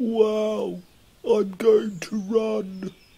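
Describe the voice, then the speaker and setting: This is a cartoonish character voice. It sits at a fairly high pitch. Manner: laid-back, casual.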